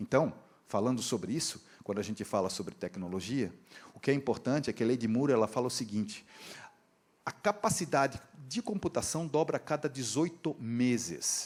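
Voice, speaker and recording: Lively intonation marks this man's medium-pitched speech. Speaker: engineering professor and industry training director. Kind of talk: conference lecture. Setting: stage with audience, live interpreter. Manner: fast; casual, conversational.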